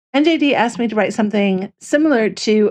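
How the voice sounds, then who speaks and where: The background is quiet. A woman with an American accent speaks at a moderate pace. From US Midwest, Chicago. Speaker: fanfiction writer, livestreamer. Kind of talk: casual livestream chat. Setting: livestream. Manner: chatty, with fillers and restarts.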